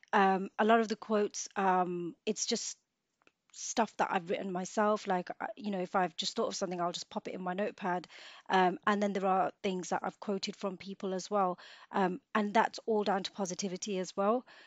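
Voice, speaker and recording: Using a plain, everyday voice, a woman of medium pitch talks at a moderate pace with fairly even intonation. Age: 30s. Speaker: nurse and makeup artist. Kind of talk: casual interview.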